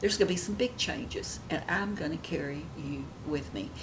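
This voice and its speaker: A woman talks fairly slowly with lively intonation while noticeable background noise carries on behind her. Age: 70s. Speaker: beauty vlogger; lifestyle vlogger. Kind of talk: casual chat. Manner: animated. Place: home room.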